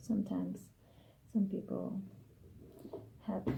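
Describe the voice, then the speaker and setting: This woman is soft-spoken. She talks at a fairly slow pace. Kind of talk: ASMR tarot card reading.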